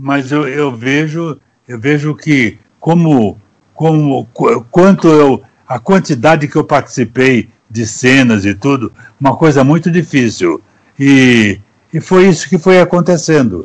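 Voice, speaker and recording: A man's very slow speech, fairly high-pitched, with lively intonation. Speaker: actor. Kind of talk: interview answer. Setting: video call.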